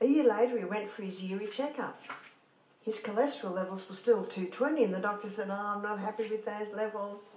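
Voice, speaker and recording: A woman speaks at a fairly quick pace and fairly high pitch, her intonation fairly even. Audible room echo and noticeable background noise surround her voice. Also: big swings in loudness. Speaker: health educator. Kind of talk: lecture.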